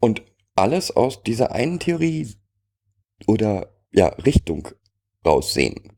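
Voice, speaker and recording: A man with a dark, mellow tone at medium pitch speaks at a very slow pace, with very wide pitch swings and long, frequent pauses. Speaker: co-host. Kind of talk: casual chat.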